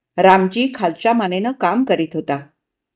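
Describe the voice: In quiet surroundings, someone does plain reading aloud.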